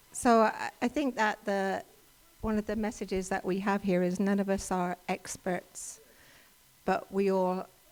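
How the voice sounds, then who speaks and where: Speaking with an English accent, a woman uses a medium pitch and fairly even intonation. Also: fairly slow pace. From England. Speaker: workshop presenter. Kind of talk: talk to a church audience. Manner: halting, many fillers.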